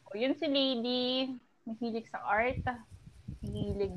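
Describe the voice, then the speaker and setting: A woman speaks at a moderate pace, her pitch varying in an ordinary way, as noticeable background noise continues. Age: 20s. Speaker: podcast co-host.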